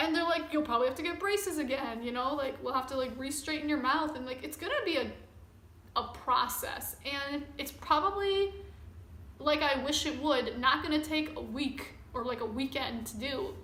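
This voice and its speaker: A woman speaks in a raised, projected, high-pitched voice, with audible room echo and noticeable background noise. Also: ordinary pitch variation, moderate pace. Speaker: vlogger. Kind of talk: personal vlog. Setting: recording to camera. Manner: casual, rambling.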